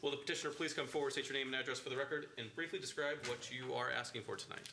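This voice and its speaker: Over noticeable background noise, a man talks at a very fast pace, with a fairly high pitch and fairly even intonation. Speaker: board chair. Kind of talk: public meeting.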